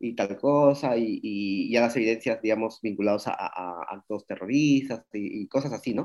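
Quiet background behind a man with ordinary pitch variation. He speaks with hardly any pauses. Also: medium pitch for a man, moderate pace. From Peru. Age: 40s. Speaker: street artist. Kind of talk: interview conversation. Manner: hesitant, with fillers.

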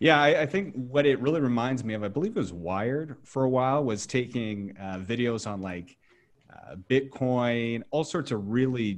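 A man talks in a normal speaking voice at a medium pitch and moderate pace, with ordinary pitch variation. The background is quiet. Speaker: podcast host. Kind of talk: interview conversation. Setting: video call.

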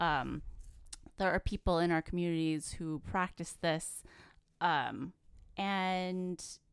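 A woman speaks at a medium pitch in a very clean recording with a silent background. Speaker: podcast co-host. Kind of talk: casual chat. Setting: studio. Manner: giggly.

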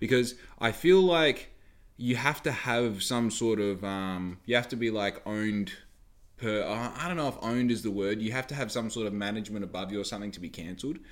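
A man speaks at a fairly quick pace. His pitch is medium, with ordinary pitch variation. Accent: Australian. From Western Australia. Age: 20s. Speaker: podcast host. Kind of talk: casual solo monologue. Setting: home recording with dog nearby. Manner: rambling with fillers.

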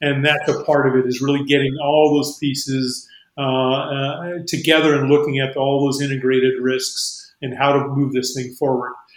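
With an American accent, a man speaks at a moderate pace and fairly high pitch in a monotone, flat intonation, with hardly any pauses and audible room echo. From New Mexico, US. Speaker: aerospace company CEO. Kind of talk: interview.

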